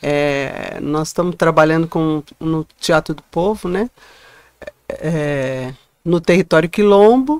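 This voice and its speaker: Against a quiet background, a woman speaks at a very slow pace in a fairly low pitch with ordinary pitch variation and big swings in loudness, the sound dry with no echo. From Guarulhos, São Paulo state, Brazil. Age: 60s. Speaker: actress and former teacher. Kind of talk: interview, life story. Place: studio. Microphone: studio mic.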